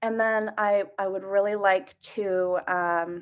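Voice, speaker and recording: A woman on a very clean recording, silent background. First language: Russian. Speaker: livestreamer teaching Russian. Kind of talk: live stream lesson. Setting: live stream. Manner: halting, many fillers.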